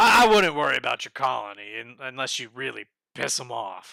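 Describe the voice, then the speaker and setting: Using a put-on character voice, a man sounds raspy at a medium pitch and talks at a fairly quick pace. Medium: actual play. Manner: measured, courteous.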